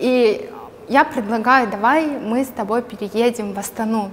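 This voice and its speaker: Noticeable background noise sits behind a woman with a fairly high pitch. She speaks at a fairly slow pace with ordinary pitch variation. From Kazakhstan. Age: 20s. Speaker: entrepreneur and blogger. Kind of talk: casual interview chat.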